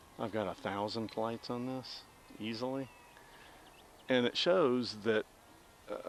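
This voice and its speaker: Speaking with a Southern US accent, a man talks at a fairly slow pace with long, frequent pauses and ordinary pitch variation. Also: medium pitch for a man. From US South. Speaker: RC pilot and hobby vlogger. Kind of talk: casual chat while flying a model plane. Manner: rambling, relaxed.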